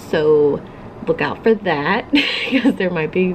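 A woman talks at a moderate pace against light background noise. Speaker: craft vlogger. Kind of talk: casual vlog chat. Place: home room. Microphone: phone near.

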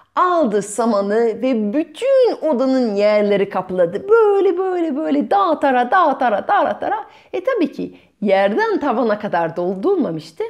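A woman speaks at a fairly slow pace with few pauses. Her fairly high pitch makes big swings, and her tone is slightly mellow.

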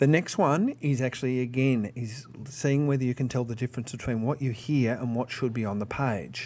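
A man talks here, pitched in the medium range. He has an Australian accent. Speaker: teacher. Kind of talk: tutorial.

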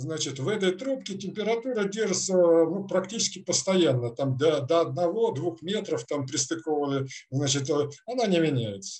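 Against a quiet background, a man with a fairly high pitch speaks at a moderate pace with very wide pitch swings. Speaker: experimental researcher. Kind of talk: scientific presentation. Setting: video call. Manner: halting. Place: home room. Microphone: video call.

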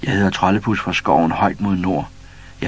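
Read aloud in a natural voice, with fairly even intonation.

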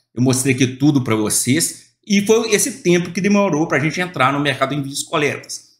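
A quiet background surrounds the speech. The man's intonation is lively. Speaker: e-commerce YouTuber and online seller; online seller explaining a shipping service. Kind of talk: screen-share tutorial. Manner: casual, filler-heavy. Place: home room.

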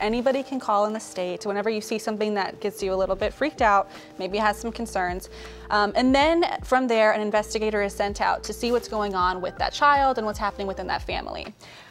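A woman at a fairly quick pace with ordinary pitch variation, faint music in the background. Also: hardly any pauses. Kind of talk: interview answer. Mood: warm, earnest. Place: studio.

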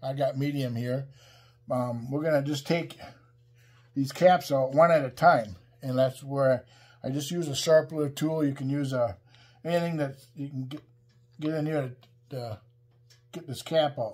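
A man speaks at a moderate pace in a somewhat breathy voice, with fairly even intonation and long, frequent pauses. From Wisconsin. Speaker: woodworking YouTuber. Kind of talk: tutorial. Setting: workshop. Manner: casual, many fillers (um, uh). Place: workshop.

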